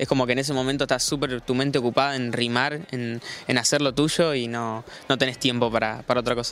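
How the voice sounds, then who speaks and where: A man with a Rioplatense accent speaks at a very fast pace. His voice sits at medium pitch with monotone, flat intonation. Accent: Argentine Rioplatense Spanish. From Argentina, Buenos Aires province (Lobería). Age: 20s. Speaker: freestyle rapper. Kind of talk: casual interview.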